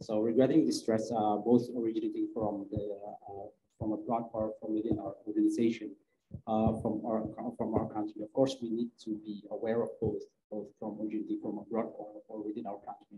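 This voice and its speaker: With an Indonesian accent, a man speaks at a fairly quick pace in a dark, mellow tone and a monotone, flat intonation. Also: medium pitch for a man. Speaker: government cybersecurity official. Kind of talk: panel discussion. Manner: halting.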